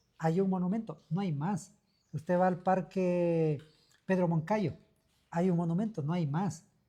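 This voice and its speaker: The pace is fairly slow. Long pauses come often. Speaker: local official. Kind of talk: radio talk show interview.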